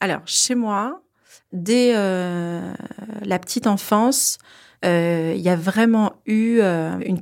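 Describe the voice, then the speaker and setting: This woman's intonation is fairly even at a medium pitch. The recording is very clean, and the background is silent. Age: 40s. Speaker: incest survivor. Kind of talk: testimony. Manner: hesitant with fillers.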